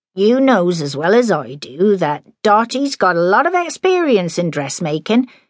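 In a natural voice, someone reads a passage aloud.

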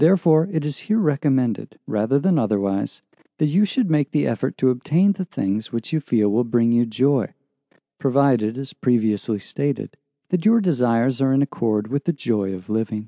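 A normal speaking voice with lively intonation at a moderate pace. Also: man, medium pitch for a man. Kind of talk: audiobook narration, reading a self-help text aloud. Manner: measured, calm, earnest and formal.

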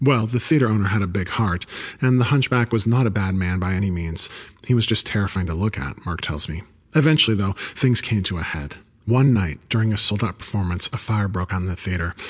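A man with a normal speaking voice, fairly low in pitch, at a fairly quick pace with ordinary pitch variation. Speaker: audiobook narrator. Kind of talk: ghost story telling, hushed and suspenseful, with character voices for dialogue.

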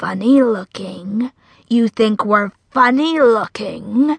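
A woman's slow put-on character voice, fairly high with ordinary pitch variation, a slightly husky edge and vocal fry, in a dry, close sound with no echo.

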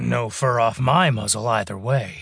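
A man's put-on character voice, growling and gruff, at a fairly slow pace. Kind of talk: audiobook character voice. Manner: gruff, growling, tough street talk.

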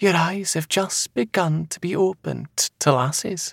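A man does a put-on character voice at a high pitch, with a slightly husky edge and vocal fry. He talks at a slow pace with ordinary pitch variation, and the sound is dry and close with no echo.

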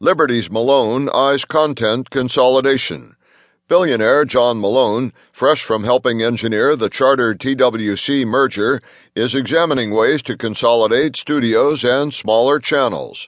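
Against a quiet background, a man of medium pitch speaks in a plain, everyday voice with ordinary pitch variation. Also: moderate pace. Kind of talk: news reading, scripted headline briefing. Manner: formal, crisp, even-paced newsreader delivery; neutral, businesslike, measured.

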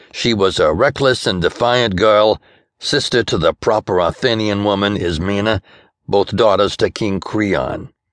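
In a dry, close recording with no echo and a quiet background, a man speaks at a fairly slow pace with very even loudness, a fairly low pitch and an unremarkable speaking voice. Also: fairly even intonation. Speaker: audiobook narrator. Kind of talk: audiobook narration, first-person noir detective fiction. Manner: shifts into mock-theatrical tone for quoted lines.

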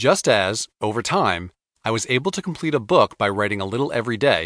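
Against a quiet background, a man at a medium pitch speaks with very wide pitch swings. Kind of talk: audiobook reading. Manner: even, measured, earnest.

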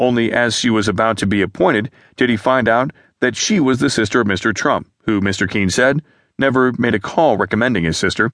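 Against a quiet background, a man speaks at a fairly quick pace in a plain, everyday voice, medium in pitch and with ordinary pitch variation. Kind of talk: news reading. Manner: formal, even-paced newsreader delivery.

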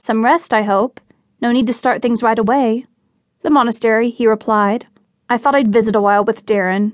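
Fairly even intonation runs through a natural reading voice. Nothing disturbs the quiet background.

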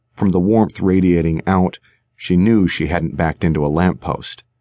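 The voice sounds animated, with ordinary pitch variation at a fairly slow pace, recorded dry and close with no echo over a quiet background. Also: man. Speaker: audiobook narrator. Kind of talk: dramatic audiobook narration with character voices. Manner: suspenseful, animated, shifting between characters.

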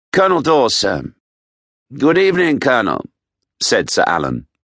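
A man's voice with vocal fry and very wide pitch swings comes through against a quiet background. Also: dry, close sound with no echo. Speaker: audiobook narrator. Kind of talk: scripted audiobook narration, thriller. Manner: dramatic, suspenseful, measured.

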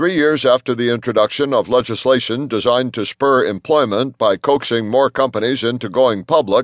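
Recorded with a dry, close sound, no echo and a quiet background, a man speaks at a moderate pace in an ordinary speaking voice with medium pitch and ordinary pitch variation. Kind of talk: newsreading. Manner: formal, even-paced headline delivery; brisk and neutral, unemotional.

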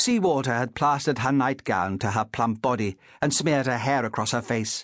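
Ordinary pitch variation in plain reading aloud

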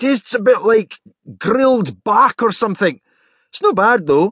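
In a put-on character voice, a man speaks at a high pitch and a fairly slow pace with lively intonation. His tone is fairly bright with a slightly husky edge, and the sound is dry and close with no echo.

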